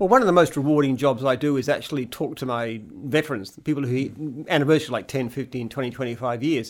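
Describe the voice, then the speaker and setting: A man with an Australian accent talks at a very fast pace with hardly any pauses and ordinary pitch variation on a very clean recording with a silent background. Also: fairly high pitch for a man. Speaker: franchise company founder and CEO. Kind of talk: casual chat.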